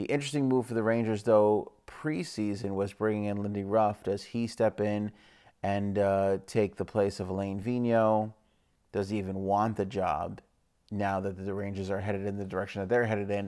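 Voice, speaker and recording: Quiet and with a dark, mellow tone, a man speaks at a moderate pace, fairly low in pitch, with fairly even intonation. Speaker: hockey show host. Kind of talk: casual commentary vlog. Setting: home living room at night. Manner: hushed.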